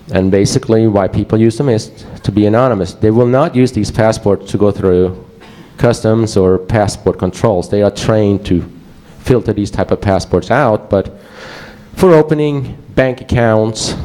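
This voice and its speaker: A man's fairly low voice with a Swedish accent, moderate pace, very even loudness and ordinary pitch variation. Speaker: security researcher. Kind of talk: conference presentation. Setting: stage with audience. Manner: halting.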